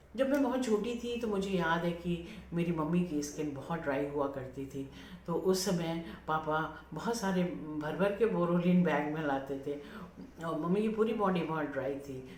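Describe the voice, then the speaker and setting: A woman with a very deep, low voice speaks with lively intonation, with audible room echo and noticeable background noise. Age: 70s. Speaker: lifestyle YouTuber. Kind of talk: casual vlog talk. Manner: hesitant, many fillers.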